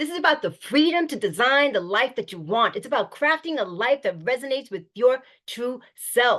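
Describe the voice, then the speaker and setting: A woman with an animated tone. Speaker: mental health promotion expert. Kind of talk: motivational talk. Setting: video call.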